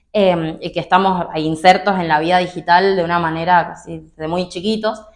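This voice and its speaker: The woman's fairly low pitch holds a flat, monotone intonation. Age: 20s. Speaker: political activist. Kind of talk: interview.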